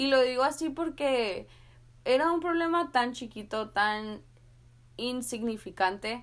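A woman with a high voice and lively intonation speaks at a very slow pace with long, frequent pauses, in a very clean recording with a silent background. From US-Mexico border, San Luis, Arizona. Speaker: podcast host. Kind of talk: motivational monologue.

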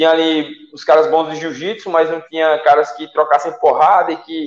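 A man speaks in a plain, everyday voice, fairly high for a man, at a moderate pace. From Salgueiro, Pernambuco, Brazil. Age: 20s. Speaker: MMA fighter. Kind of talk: casual interview on live stream.

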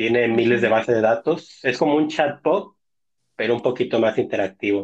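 An unremarkable speaking voice from a man, medium-pitched with ordinary pitch variation, at a fairly quick pace. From Mexico, Tampico, Tamaulipas. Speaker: technology researcher. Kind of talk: casual interview.

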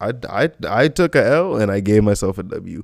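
A man is talking. His pitch swings very widely. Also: very clean recording, silent background. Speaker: podcast host and streamer. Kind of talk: casual solo chat. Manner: animated.

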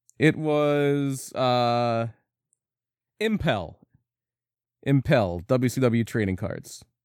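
A man talks at a very slow pace in a medium pitch, with lively intonation and long, frequent pauses. The recording is very clean, with a silent background. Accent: American. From Philadelphia area. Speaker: podcast co-host. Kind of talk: casual chat. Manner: laughs often.

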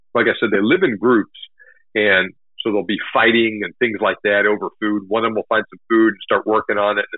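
In an ordinary speaking voice, a man with an American accent talks fairly quickly at a fairly low pitch. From Texas, north of Houston. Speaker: hunting blogger and army veteran. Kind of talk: interview. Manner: casual, filler-heavy.

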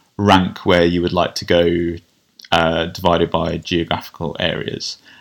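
A man speaks with a southern English accent. His pitch is very deep and low. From southern England (Kent). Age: 30s. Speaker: general practitioner. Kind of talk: interview. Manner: hesitant, with fillers.

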